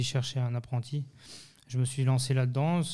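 A man's medium-pitched, dark, mellow voice, monotone and flat at a moderate pace, on a very clean recording with a silent background. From Geneva area, Switzerland / Haute-Savoie. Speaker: chef. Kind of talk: interview. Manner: halting, many repetitions.

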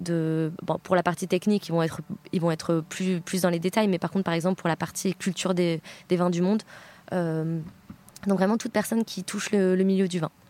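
In a dry, close sound with no echo, a woman speaks at a moderate pace with a fairly low pitch, a dark, mellow tone and monotone, flat intonation. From France, Bordeaux. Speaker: wine education entrepreneur. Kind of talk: interview.

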